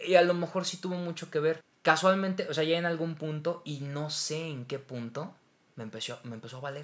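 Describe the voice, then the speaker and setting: A man talks at a fairly quick pace in a fairly high voice with ordinary pitch variation. His loudness swings widely. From Mexico. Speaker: voice actor. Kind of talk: casual chat.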